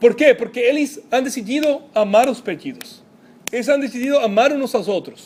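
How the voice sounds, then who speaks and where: An extremely high-pitched man's voice at a moderate pace with ordinary pitch variation, over noticeable background noise. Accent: Spanish. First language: Spanish (speaking Portuguese). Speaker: pastor. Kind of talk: sermon. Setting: church. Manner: halting, mixes Spanish words.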